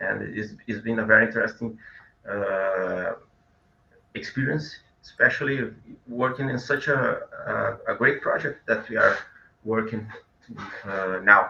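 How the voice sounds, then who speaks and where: A man with a Portuguese accent at a fairly slow pace, with long, frequent pauses. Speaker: comic book artist. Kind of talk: interview. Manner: halting.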